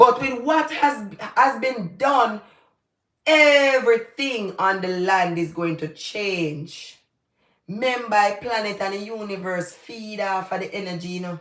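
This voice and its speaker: A woman talks in a Jamaican accent at a fairly slow pace. Her tone is animated, with big swings in loudness. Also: medium pitch for a woman, lively intonation. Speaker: YouTuber, commentator. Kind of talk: livestream commentary.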